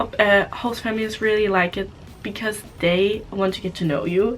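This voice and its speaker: Medium-pitched female speech in a German accent at a moderate pace, with noticeable background noise. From Germany. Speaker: au pair vlogger. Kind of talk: casual vlog talk. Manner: halting.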